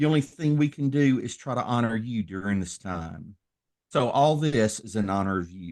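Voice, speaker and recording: His intonation is lively, and this man keeps a medium pitch. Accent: Southern US. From US South, Tennessee. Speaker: minister and former professional wrestler. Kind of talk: podcast interview. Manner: slow.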